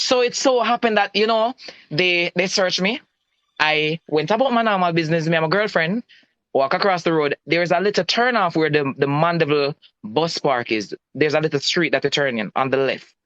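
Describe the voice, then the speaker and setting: Speaking with a Jamaican accent, a man with a high pitch talks at a fairly quick pace in lively intonation, his loudness very even, with a dry, close sound with no echo and a quiet background. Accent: Jamaican, patois-inflected. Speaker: citizen telling about a police encounter. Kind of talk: personal testimony in a live-stream chat.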